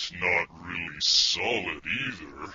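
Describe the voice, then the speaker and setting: A man's growling, put-on character voice at a fairly slow pace. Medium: audio drama. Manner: dry, deadpan.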